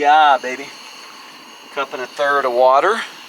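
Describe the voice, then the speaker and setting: The speech moves at a fairly slow pace. Noticeable background noise can be heard. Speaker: overlanding vlogger. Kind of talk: casual outdoor vlog. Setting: outdoors at campsite. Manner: loud.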